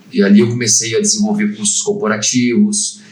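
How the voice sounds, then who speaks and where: A man at a medium pitch talks at a moderate pace, his pitch swinging very widely. Noticeable background noise and audible room echo come through. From Brazil, Barra Mansa (Rio de Janeiro state). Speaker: HR franchisee, former safety trainer. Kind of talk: casual podcast interview. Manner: halting.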